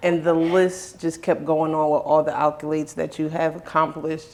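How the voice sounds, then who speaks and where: A woman talks at a moderate pace. There is noticeable background noise behind her. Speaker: community TV host. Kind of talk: interview host talk.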